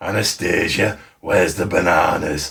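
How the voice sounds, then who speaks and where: Delivered in a put-on character voice with a Yorkshire accent, the raspy speech moves at a moderate pace. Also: man. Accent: Yorkshire, exaggerated. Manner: teasing, playful.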